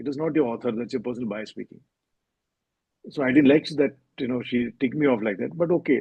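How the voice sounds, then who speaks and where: A man with a Keralan accent, vocal fry and a very fast pace. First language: Malayalam. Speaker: novelist. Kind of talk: interview. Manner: hesitant, with fillers.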